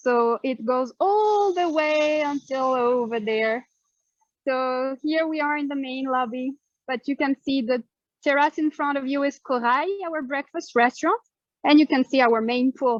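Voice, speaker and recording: Someone with a French accent talks at a fairly slow pace with ordinary pitch variation, in a dry, close sound with no echo. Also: woman, high pitch for a woman. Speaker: hotel staff member giving a tour. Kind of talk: live guided tour. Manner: casual, with many fillers.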